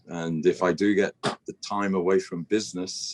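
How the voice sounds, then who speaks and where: In a British accent, a man with a very deep, low pitch speaks in a dry, close sound with no echo. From Britain. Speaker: business executive, broadcast infrastructure expert. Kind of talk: interview.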